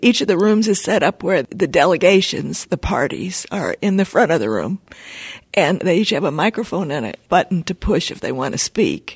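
With vocal fry and lively intonation, a woman talks at a moderate pace. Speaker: climate activist. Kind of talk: interview. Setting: in person on a college campus.

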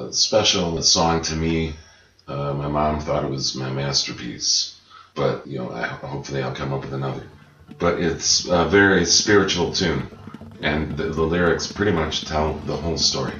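A man with an American accent and a very deep, low pitch, at a moderate pace with ordinary pitch variation, amid noticeable background noise and audible room echo. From Chicago. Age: 40s. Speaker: singer-songwriter. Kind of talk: casual interview. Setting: dining room.

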